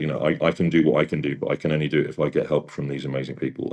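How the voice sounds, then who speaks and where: Using vocal fry, a man talks at a very fast pace in a very deep, low pitch. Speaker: opera singer and vocal mentor. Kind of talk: interview.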